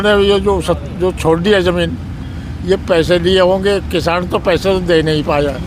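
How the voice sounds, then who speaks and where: The speech holds a very even loudness against noticeable background noise. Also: man. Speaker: former village head. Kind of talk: street interview.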